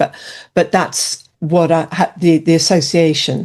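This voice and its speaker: A woman in an English accent, her pitch fairly low, at a moderate pace. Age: 60s. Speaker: alcohol-freedom coach and author. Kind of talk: interview. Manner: hesitant, many fillers.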